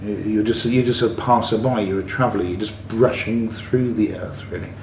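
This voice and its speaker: A man with an English accent speaks at a fairly low pitch with ordinary pitch variation. There is audible room echo and noticeable background noise. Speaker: travel vlogger. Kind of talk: casual monologue. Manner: halting.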